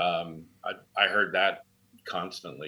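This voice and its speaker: A man speaks with a bright, sharp tone. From San Francisco Bay Area. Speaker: firefighter and advocacy founder. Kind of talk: interview. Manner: halting, many fillers.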